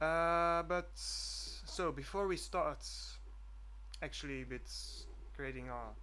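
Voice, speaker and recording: With long, frequent pauses, a man speaks at a very slow pace amid audible room echo. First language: Dutch. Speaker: student programmer vlogger. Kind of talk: screencast vlog. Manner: halting, many fillers.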